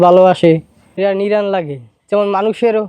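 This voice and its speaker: A man speaks in a high voice with a dark, mellow tone. His delivery is flat and monotone. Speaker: coconut tree climber and cleaner. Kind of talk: interview answers.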